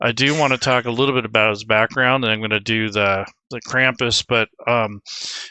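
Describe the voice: Quiet background with plain reading aloud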